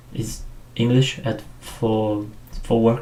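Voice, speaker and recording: With a strong non-native accent, a man speaks at a medium pitch amid audible room echo. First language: not English. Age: 40s. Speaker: 3D sculptor. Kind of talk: tutorial livestream. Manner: halting, many fillers.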